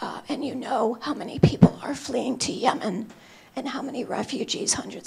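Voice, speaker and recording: Someone whispers at a fairly quick pace. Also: woman. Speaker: human rights advocate, panelist. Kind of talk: panel talk. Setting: conference stage with audience.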